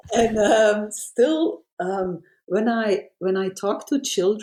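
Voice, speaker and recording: A woman with a medium pitch and a dark, mellow tone speaks at a very slow pace. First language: Dutch (Flemish). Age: 60s. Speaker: children's author. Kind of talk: interview. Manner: halting.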